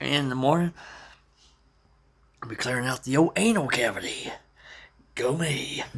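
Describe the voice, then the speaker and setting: Against noticeable background noise, a man with a fairly high pitch and ordinary pitch variation talks with long, frequent pauses. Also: moderate pace. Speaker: prepping vlogger. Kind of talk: casual monologue. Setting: at home, family asleep nearby. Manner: halting.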